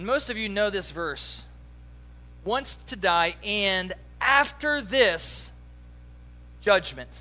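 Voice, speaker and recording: Speaking with an American accent at a very slow pace, a man leaves long, frequent pauses. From US East Coast. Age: 40s. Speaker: pastor. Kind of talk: sermon.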